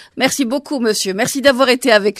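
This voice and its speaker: A woman with a high pitch and lively intonation is heard in a dry, close sound with no echo on a very clean recording with a silent background. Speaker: radio journalist. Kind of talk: radio interview. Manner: formal.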